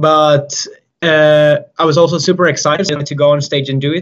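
A man with a Finnish accent speaks at a fairly slow pace, his fairly high voice holding a fairly even intonation. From Finland. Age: 20s. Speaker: circus juggler. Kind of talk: interview. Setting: video call. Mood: friendly, relaxed. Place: empty room. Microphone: video call.

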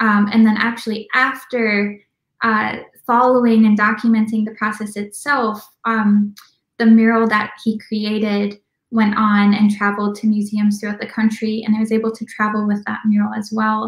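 In a quiet background with audible room echo, a woman with an American accent speaks at a moderate pace in a fairly high, somewhat breathy voice with monotone, flat intonation. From Minnesota, US Midwest. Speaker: documentary filmmaker; guest. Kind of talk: interview. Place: home room. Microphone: video call.

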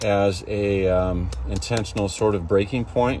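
Dry sound with no echo, ordinary pitch variation, and music in the background. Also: man. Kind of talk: tutorial. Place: farm machine. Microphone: phone near.

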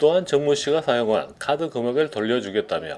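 With lively intonation and a fairly high pitch, a man talks at a moderate pace over noticeable background noise. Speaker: news reporter. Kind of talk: TV news report narration.

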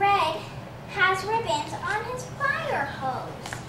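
Over noticeable background noise, a woman with an extremely high voice speaks very slowly with lively intonation. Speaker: storyteller. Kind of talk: children's storybook reading.

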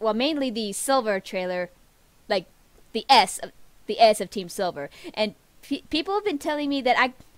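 A woman speaks at a moderate pace with a high pitch. The sound is dry, with no echo. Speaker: reaction video creator. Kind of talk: casual reaction vlog chat. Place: home room. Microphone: webcam.

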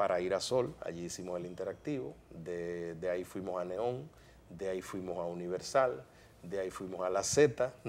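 A man speaks at a moderate pace with a very deep, low pitch and ordinary pitch variation. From Dominican Republic, San Pedro de Macorís; Dominican Republic. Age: 50s. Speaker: broadcaster and media commentator; TV interview guest. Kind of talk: interview. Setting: studio. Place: studio. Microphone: lapel.

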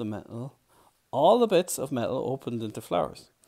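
Over a quiet background, someone is reading aloud in a natural voice with lively intonation.

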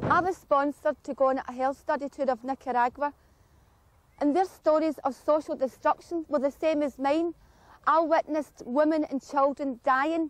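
A woman with a Scottish accent speaks at a high pitch in a fairly even intonation, the sound dry with no echo. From Glasgow, Scotland. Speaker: community anti-poverty activist. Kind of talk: documentary narration. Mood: earnest, impassioned. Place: open country.

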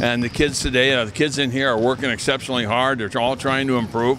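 Talking at a very fast pace, a man keeps a monotone, flat intonation in a dry sound with no echo over noticeable background noise. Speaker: basketball camp coach. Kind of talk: interview answer. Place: hall. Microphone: handheld.

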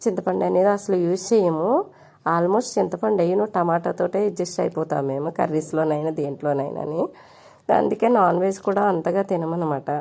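Dark, mellow tone from a woman with a fairly low pitch and vocal fry. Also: ordinary pitch variation. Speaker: cooking vlogger. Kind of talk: cooking tutorial.

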